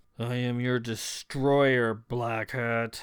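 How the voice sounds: A man's put-on character voice, booming and monotone, with flat intonation at a medium pitch.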